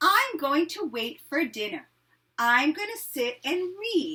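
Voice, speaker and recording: A woman puts on a high-pitched character voice. She speaks fairly slowly, with very wide swings in pitch. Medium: read story. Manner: warm, gentle.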